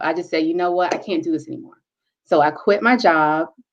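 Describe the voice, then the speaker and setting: The delivery is animated and fairly quick. It carries an American accent. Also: woman. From North Carolina, Charlotte. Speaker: teacher and scientist. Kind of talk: interview.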